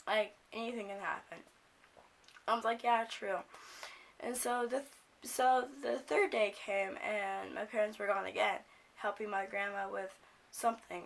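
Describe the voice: A woman at medium pitch with vocal fry, fairly even intonation, a fairly slow pace and long, frequent pauses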